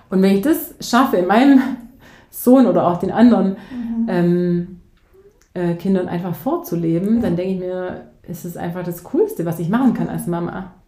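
A woman's loudness swings widely as her voice bounces with audible room echo. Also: medium pitch for a woman, ordinary pitch variation, moderate pace. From southern Germany, near Ulm (Swabia). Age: 40s. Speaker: teacher and coach. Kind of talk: interview. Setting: in person, studio.

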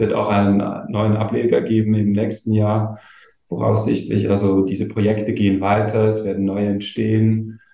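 A man's monotone, flat voice at a moderate pace, very even in loudness, with audible room echo. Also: fairly low pitch for a man. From eastern Switzerland (Gommiswald, St. Gallen). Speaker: community manager. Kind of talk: casual chat.

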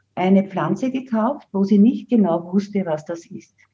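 A woman's somewhat breathy voice at a medium pitch, dark and mellow in tone, with lively intonation and a moderate pace. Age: 70s. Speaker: herbalist and author. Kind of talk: interview.

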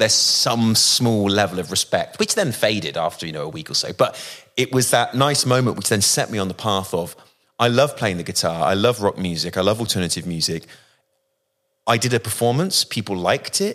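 A man with a southern English accent, fairly low-pitched, fairly quick and lively in intonation, on a very clean recording with a silent background. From West Country, Bristol. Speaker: rock musician. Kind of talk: casual interview conversation.

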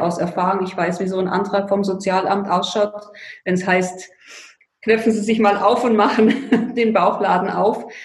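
A woman's fairly even intonation, with audible room echo. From Bavaria, Allgäu (Füssen). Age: 50s. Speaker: financial coach. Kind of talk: interview. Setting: remote call.

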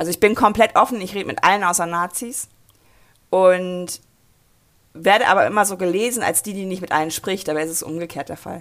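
The pace is fairly quick, with ordinary pitch variation. Long, frequent pauses break it up, and the loudness swings widely. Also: woman, medium pitch for a woman. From rural Germany. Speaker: mobility activist and author. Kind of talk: interview.

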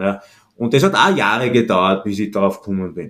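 Talking at a fairly quick pace with a slight Austrian accent, a man uses ordinary pitch variation. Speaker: entrepreneur and positioning consultant. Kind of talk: interview. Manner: relaxed, casual.

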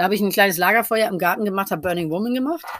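A woman speaking at a very fast pace with lively intonation. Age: 50s. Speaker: costume designer. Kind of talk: interview. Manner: many filler sounds.

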